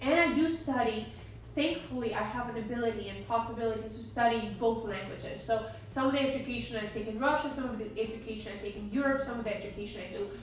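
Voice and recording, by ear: Raspy and fairly high-pitched, a woman talks at a fairly quick pace with ordinary pitch variation and audible room echo.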